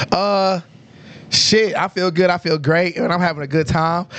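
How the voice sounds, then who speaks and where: A man's high-pitched voice with an American accent. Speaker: podcast host. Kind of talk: casual chat. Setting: livestream podcast. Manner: animated.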